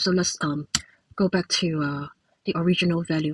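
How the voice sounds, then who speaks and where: A woman speaks in a Cantonese accent, somewhat breathy. The sound is dry and close, with no echo. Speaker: software developer. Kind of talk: tutorial. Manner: halting, many fillers.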